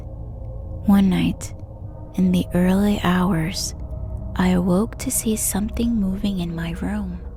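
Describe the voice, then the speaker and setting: Over music in the background, the speech unfolds at a very slow pace. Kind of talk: ASMR horror story narration. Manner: soft, hushed, slow.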